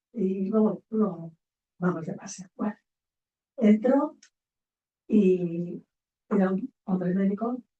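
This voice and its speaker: A woman with a dark, mellow tone, somewhat breathy, at a very slow pace. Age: 80s+. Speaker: psychologist. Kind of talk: panel discussion.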